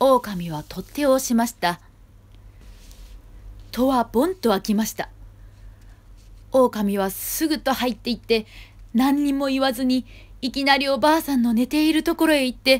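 This woman has a high-pitched voice and talks at a moderate pace. She leaves long pauses often. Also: ordinary pitch variation. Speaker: actor performing a storybook reading. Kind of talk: children's storybook reading. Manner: gentle storytelling narration.

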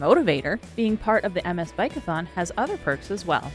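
A woman speaks at a very fast pace. Music plays in the background. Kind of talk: documentary narration.

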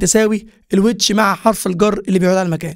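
A man with an Egyptian accent against a quiet background. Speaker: English teacher. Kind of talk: lecture.

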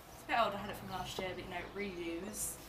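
Noticeable background noise accompanies a woman as she speaks. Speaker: fashion vlogger. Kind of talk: casual lookbook chat. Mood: cheerful, relaxed.

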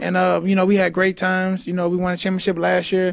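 A man with an American accent speaks at a high pitch. His intonation is monotone and flat, with light background noise. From St. Louis, Missouri; Missouri. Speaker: college basketball player. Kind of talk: sit-down interview. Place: stadium. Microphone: handheld.

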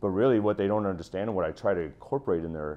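The speaker is a man with a very deep, low pitch. His voice shows ordinary pitch variation. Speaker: school teacher. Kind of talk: interview answer. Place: home room. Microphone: lapel.

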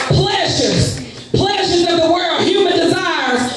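A man with an extremely high pitch and ordinary pitch variation talks at a fairly slow pace, his loudness very even, with strong room echo and clear music in the background. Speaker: preacher. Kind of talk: sermon. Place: church.

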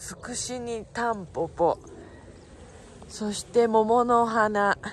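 A woman with a Yamanashi accent speaks at a very slow pace with fairly even intonation. The sound is dry with no echo, over light background noise. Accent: Koshu (Yamanashi) dialect intonation. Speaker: local travel vlogger. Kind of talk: casual talk to camera. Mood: cheerful, admiring. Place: open country. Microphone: phone near.

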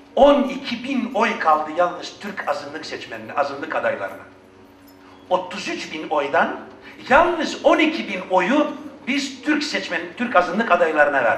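Over noticeable background noise, a man talks in an animated, angry tone at a fairly slow pace. His pitch is high and swings very widely. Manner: animated, loud, angry.

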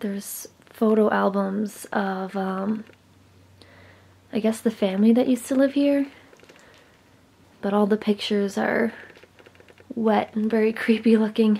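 The pace is fairly slow. Long, frequent pauses run through the speech. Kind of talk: casual vlog chat. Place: home room. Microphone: phone near.

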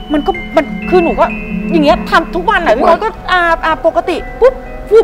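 A woman with a high pitch speaks over clear music in the background. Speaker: talk show guest. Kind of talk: interview answer. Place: studio. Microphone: lapel.

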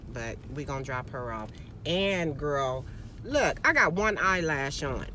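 The recording has noticeable background noise and a dry sound with no echo. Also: woman. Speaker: vlogger. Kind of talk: casual vlog chat. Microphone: phone near.

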